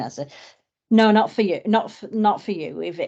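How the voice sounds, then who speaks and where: A woman with a northern English accent talks at a fairly quick pace against a quiet background. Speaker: suicide prevention campaigner. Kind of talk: podcast interview. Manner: halting, many fillers.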